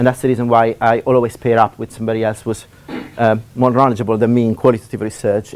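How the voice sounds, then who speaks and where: A man with an Italian accent talks very fast at a medium pitch, his intonation flat and monotone, with noticeable background noise. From Italy. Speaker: university lecturer. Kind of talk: lecture. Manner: halting. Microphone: laptop.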